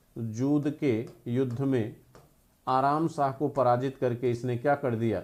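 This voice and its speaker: A man's dark, mellow voice moves at a very slow pace. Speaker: history teacher. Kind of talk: online lecture. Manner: soft-spoken.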